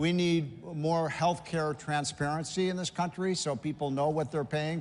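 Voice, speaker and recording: A man talks at a moderate pace in a fairly high pitch. Room echo is audible around him. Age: 60s. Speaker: policy commentator. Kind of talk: conference panel discussion.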